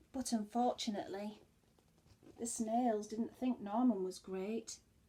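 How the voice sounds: A woman with a dark, mellow tone and a slightly husky edge speaks at a medium pitch, fairly slowly, with fairly even intonation.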